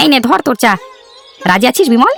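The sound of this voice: Faint music plays behind a man doing a cartoonish character voice at an extremely high pitch, with vocal fry, a bright, sharp tone, big pitch swings and a fairly quick pace. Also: dry, close sound with no echo.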